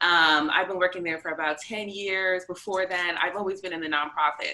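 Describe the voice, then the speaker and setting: Against noticeable background noise, a woman with an American accent speaks fairly quickly in a fairly low voice with ordinary pitch variation. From US Northeast, north of Boston, Massachusetts. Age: 30s. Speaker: mother sharing birth story. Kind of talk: interview.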